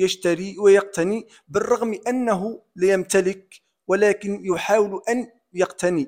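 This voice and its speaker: At a very slow pace, a man talks in a high pitch with fairly even intonation. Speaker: public sector worker. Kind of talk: opinion monologue. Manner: formal.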